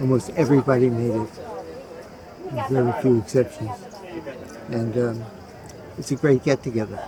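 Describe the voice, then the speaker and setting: A man speaks at a moderate pace with long, frequent pauses. His medium-pitched voice stays fairly even, with crowd noise behind him. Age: 80s+. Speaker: birthday celebrant, family patriarch. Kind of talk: personal reflection. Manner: halting.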